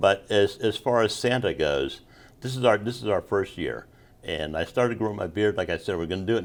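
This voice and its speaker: This is an ordinary speaking voice: a man with a fairly low pitch and ordinary pitch variation talks at a moderate pace in a very clean recording with a silent background. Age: 60s. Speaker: Vietnam era Navy veteran and street singer. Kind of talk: interview answer.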